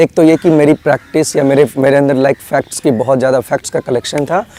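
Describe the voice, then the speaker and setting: A man talks at a moderate pace, his voice dry and close with no echo. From India, Bihar. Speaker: student giving exam advice. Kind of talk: advice talk. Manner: hesitant, many fillers.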